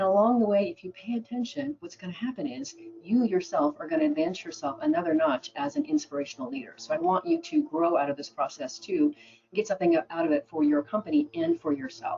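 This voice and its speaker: A woman with an American accent speaks very fast, her pitch swinging very widely. Her voice is somewhat breathy. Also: medium pitch for a woman. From Oregon, US. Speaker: business speaker and radio host. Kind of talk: webinar presentation.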